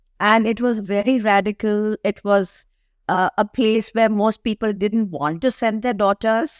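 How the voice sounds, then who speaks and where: In an ordinary speaking voice, a woman talks at a fairly high pitch and a fairly slow pace, with fairly even intonation and very even loudness. The sound is dry and close with no echo, on a very clean recording with a silent background. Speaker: architect. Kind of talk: interview answer.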